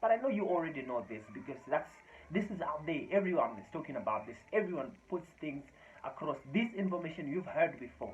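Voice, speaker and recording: Over noticeable background noise, a man with a high voice and a Zimbabwean accent talks fairly quickly in an animated tone, his pitch swinging very widely. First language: Shona. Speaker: motivational speaker. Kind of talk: motivational talk to camera.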